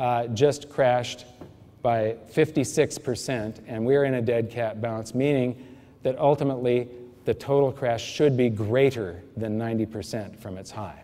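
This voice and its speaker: This man has a normal speaking voice at a medium pitch, with fairly even intonation and a moderate pace. His loudness swings widely. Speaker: financial educator giving a seminar talk. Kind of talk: lecture.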